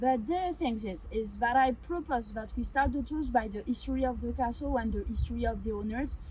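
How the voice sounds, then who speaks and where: A woman with a strong French accent at a fairly quick pace, hardly any pauses. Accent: heavy French. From France. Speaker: winery tour guide. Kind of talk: guided tour. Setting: winery cellar. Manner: fast.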